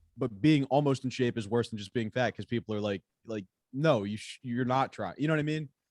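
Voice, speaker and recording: Man's plain, everyday voice at medium pitch, fairly quick pace, ordinary pitch variation and big swings in loudness, in a dry, close sound with no echo. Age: 30s. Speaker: podcast co-host, comedian. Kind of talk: casual chat.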